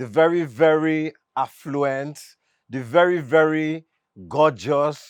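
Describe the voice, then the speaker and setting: A man's fairly high-pitched voice at a fairly slow pace, with a dry, close sound and no echo. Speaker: talk show host. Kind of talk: casual interview chat. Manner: animated.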